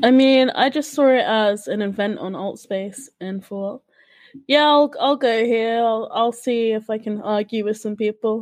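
The pace is fairly slow. The words come in a British accent. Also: woman, fairly high pitch for a woman, ordinary pitch variation. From UK. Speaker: podcast co-host, church community member. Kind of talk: casual podcast chat.

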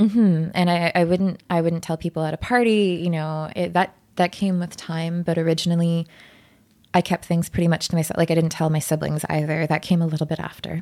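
A woman with a Canadian accent, fairly low in pitch, dark and mellow in tone, flat and monotone, at a fairly quick pace, on a very clean recording with a silent background. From Ottawa, Canada. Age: 20s. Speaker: escort and art event organizer. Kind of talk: casual interview.

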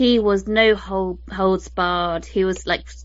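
A woman with a British accent. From UK. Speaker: podcast host. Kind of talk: casual chat.

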